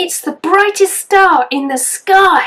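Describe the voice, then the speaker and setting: A put-on character voice from a woman, pitched extremely high. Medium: read story.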